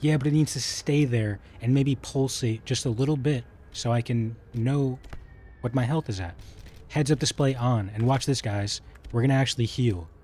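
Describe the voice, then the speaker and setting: Somewhat breathy and fairly quick, a man speaks at medium pitch with ordinary pitch variation. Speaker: gaming streamer. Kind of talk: live gameplay commentary. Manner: soft-spoken; quiet, doesn't project.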